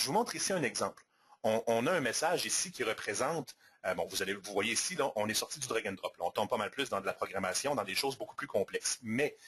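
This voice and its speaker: With noticeable background noise, a man talks at a very fast pace. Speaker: software presenter. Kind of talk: product demo webinar. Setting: live webinar.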